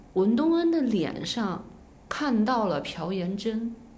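Very slowly, a woman speaks with very wide pitch swings, with audible room echo and noticeable background noise. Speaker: former TV drama producer. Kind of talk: casual chat.

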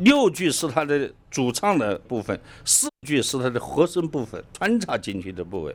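The recording is very clean, with a silent background. A man with a fairly high pitch and vocal fry speaks at a moderate pace, his pitch swinging very widely. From Lichuan, Enshi, Hubei. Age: 60s. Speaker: folk culture researcher. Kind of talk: interview.

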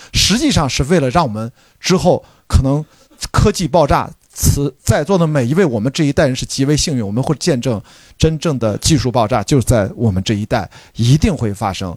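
With lively intonation and a fairly quick pace, a man talks in a dry, close sound with no echo. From China, Qingdao. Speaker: podcast host. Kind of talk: live post-screening discussion. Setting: cinema with live audience.

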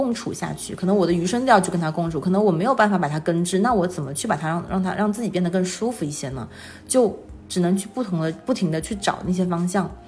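Against noticeable background noise, a woman talks at a very fast pace and a medium pitch, with ordinary pitch variation. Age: 30s. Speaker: full-time mother and illustrator. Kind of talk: casual interview.

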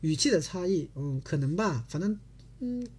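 A man's fairly high voice with a dark, mellow tone and very wide pitch swings. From China. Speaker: Korean language teacher. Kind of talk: online language lesson. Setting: livestream from home. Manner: repetitive.

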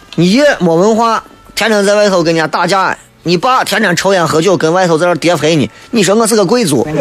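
With music in the background, the speech runs at a fairly quick pace with ordinary pitch variation and very even loudness. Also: man. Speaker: radio talk show host. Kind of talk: radio talk show monologue, humorous. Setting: radio studio broadcast. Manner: animated, humorous, colloquial; toned down, saving his voice.

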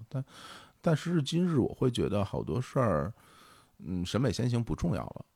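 A man's dark, mellow voice with vocal fry, very wide pitch swings, a moderate pace and long, frequent pauses, on a very clean recording with a silent background. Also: medium pitch for a man. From Beijing, China. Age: 40s. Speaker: podcast co-founder and host. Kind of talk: casual interview conversation.

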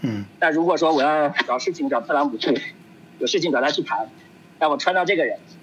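Speech comes at a fairly quick pace with very even loudness and ordinary pitch variation. Noticeable background noise sits behind it. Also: man, fairly high pitch for a man. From China. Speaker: overseas Chinese professional. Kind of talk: casual discussion.

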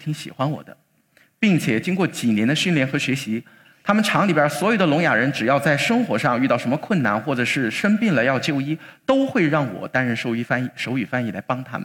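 This man, fairly high in pitch, covers ground fairly quickly while his pitch swings very widely. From Chongqing, China. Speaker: lawyer. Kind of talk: public talk.

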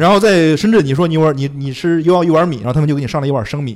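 A man talks at a very fast pace. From Henan, Zhengzhou. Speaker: software product manager and stand-up comedian. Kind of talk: casual chat.

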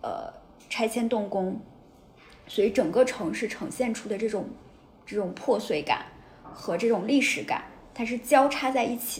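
This woman's voice sits fairly high in pitch, with ordinary pitch variation. She talks at a moderate pace. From Taiyuan, Shanxi, northern China. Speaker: writer and city observer, host's colleague. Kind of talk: casual chat.

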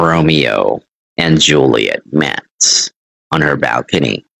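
Speaking at a very slow pace, a man with vocal fry uses a very deep, low pitch. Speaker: English teacher. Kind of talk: online English lesson. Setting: livestream. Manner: hesitant, many fillers.

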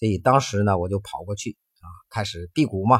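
The recording is very clean and the background silent. A man speaks fairly quickly. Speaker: health podcast host. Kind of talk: personal storytelling monologue. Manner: animated.

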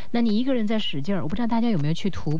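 Her pitch swings very widely as this woman talks against noticeable background noise. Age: 20s. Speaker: late-night radio host. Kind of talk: radio call-in chat.

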